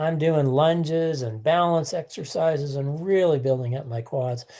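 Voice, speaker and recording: Against a quiet background, a man with a fairly high voice and a dark, mellow tone talks at a moderate pace with ordinary pitch variation. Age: 70s. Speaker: hiker. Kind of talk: casual chat.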